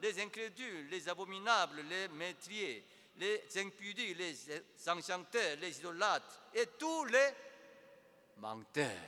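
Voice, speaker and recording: A man with a high, bright, sharp voice projects it loudly at a very slow pace, using lively intonation and long, frequent pauses. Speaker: preacher. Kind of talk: sermon, preaching to a congregation, with direct appeals to the listener. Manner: emphatic and rhetorical, with rhetorical questions.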